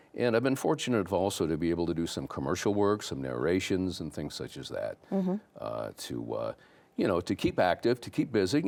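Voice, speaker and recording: In an American accent, a man talks at a fairly quick pace. His pitch swings very widely. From LaSalle-Peru, Illinois. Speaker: former radio host. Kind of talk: interview answer.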